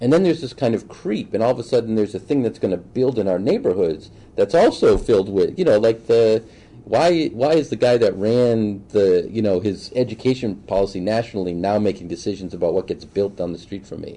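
A man with an American accent speaks at a fairly quick pace and medium pitch. His tone is dark and mellow, and his intonation is lively. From Boston. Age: 40s. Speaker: city council candidate. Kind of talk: interview. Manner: halting.

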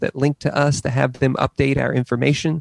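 A man's normal speaking voice at a moderate pace, pitched medium, with fairly even intonation. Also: dry, close sound with no echo. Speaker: library director. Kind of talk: formal presentation. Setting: video call.

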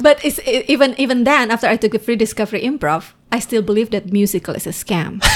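In an Indonesian accent, a woman speaks at a very fast pace, her pitch fairly high with ordinary pitch variation. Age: 40s. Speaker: former journalist and improv performer. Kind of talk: casual interview.

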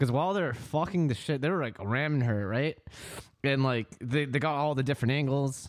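On a very clean recording with a silent background, a man with an American accent speaks fairly quickly at a fairly high pitch, with ordinary pitch variation and very even loudness. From Northern California (Vallejo/Fairfield). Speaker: podcast host. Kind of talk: casual chat. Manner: animated.

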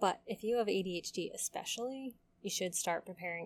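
Using ordinary pitch variation, a woman with an unremarkable speaking voice talks at a fairly quick pace and a medium pitch. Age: 30s. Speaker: podcast host and graduate student. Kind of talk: solo podcast monologue.

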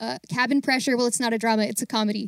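A woman with an American accent, in a dry, close sound with no echo. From US, Baltimore. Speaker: actor and singer, audio theater volunteer. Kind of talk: casual interview.

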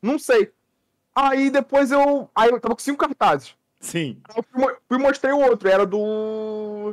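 An extremely high-pitched male voice with an animated tone and ordinary pitch variation, fairly slow in pace, in a dry, close recording with no echo. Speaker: podcast co-host. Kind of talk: casual chat.

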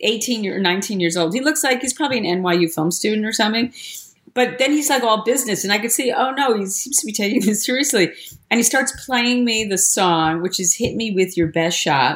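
A normal speaking voice from a woman, fairly high-pitched and fairly quick, with lively intonation. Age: 60s. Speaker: storyteller. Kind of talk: casual chat.

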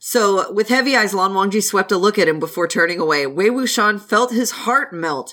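What you hear is an unforced reading voice. It stays that way from start to finish.

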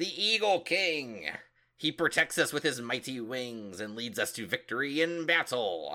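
A man's bellowing put-on character voice, fairly high in pitch, at a moderate pace

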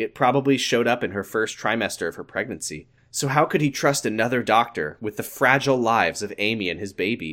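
The pace is fairly quick in an unremarkable speaking voice with ordinary pitch variation. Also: man. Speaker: podcast host. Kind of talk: casual comedic banter, riffing and reading fiction aloud. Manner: playful, joking.

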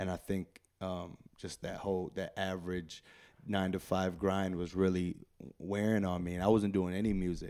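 A man's very deep, low voice with a dark, mellow tone, monotone, flat intonation and an American accent, at a moderate pace. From Chicago. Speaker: rapper. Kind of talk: casual interview chat.

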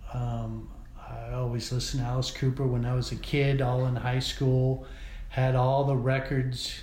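Audible room echo surrounds a man with an American accent speaking at a moderate pace. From Columbia, South Carolina, US South. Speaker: theater technical director. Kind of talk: interview.

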